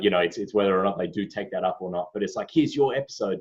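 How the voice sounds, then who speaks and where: His intonation is lively. The man's voice sits fairly low in pitch. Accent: Australian. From Australia. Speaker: podcast host. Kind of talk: casual chat.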